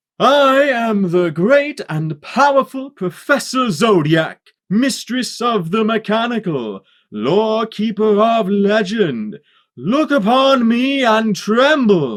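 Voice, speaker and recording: A man puts on a character voice, pitched high and delivered very slowly. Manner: grandiose, commanding.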